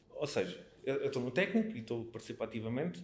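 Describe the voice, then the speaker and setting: Fairly quick delivery from a man, medium in pitch and somewhat breathy. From Portugal, Alentejo (Mértola). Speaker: local political activist. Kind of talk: casual interview. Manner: halting, with repetitions.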